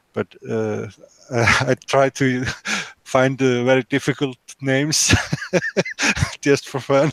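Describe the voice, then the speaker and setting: A man with an Icelandic accent speaks at a medium pitch in a monotone, flat way. The recording is dry and close, with no echo. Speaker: 3D printing YouTuber. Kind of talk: casual group video hangout. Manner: halting, many fillers.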